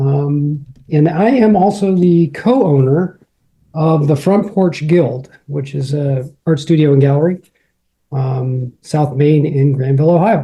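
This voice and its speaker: The man's voice is fairly high and somewhat breathy, his pace fairly slow and his pitch varying in an ordinary way. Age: 50s. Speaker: painter and gallery co-owner. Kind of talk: casual interview.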